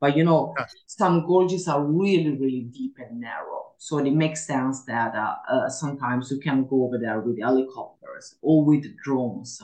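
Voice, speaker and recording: Hardly pausing at all, a woman with an Italian accent talks at a moderate pace in a very deep, low pitch with ordinary pitch variation. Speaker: mantracking instructor. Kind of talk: interview. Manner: halting with fillers.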